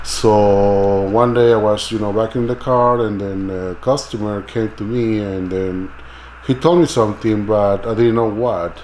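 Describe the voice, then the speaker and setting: Fairly slow and fairly low in pitch, a man with a Mexican accent talks with ordinary pitch variation over noticeable background noise. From Mexico City. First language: Spanish. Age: 40s. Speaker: immigrant interviewee. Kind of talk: documentary interview. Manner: halting.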